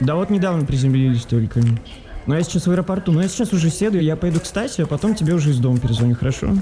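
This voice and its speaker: A man at a fairly high pitch and very fast pace, with lively intonation, very even loudness, and noticeable background noise. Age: 30s. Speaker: journalist. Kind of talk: casual chat. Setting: in a car. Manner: animated.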